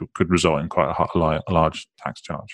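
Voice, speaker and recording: A man with a British accent speaks at a very fast pace in a very deep, low pitch with fairly even intonation, on a very clean, dry, close recording with a silent background and no echo. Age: 30s. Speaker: financial advisor. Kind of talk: interview. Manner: halting, many repetitions and fillers.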